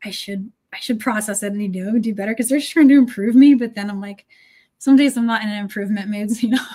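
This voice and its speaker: A woman speaks at a very fast pace with fairly even intonation, big swings in loudness, a dark, mellow tone and a somewhat breathy quality. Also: fairly high pitch for a woman. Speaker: beading designer and presenter. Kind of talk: casual chat. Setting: livestream.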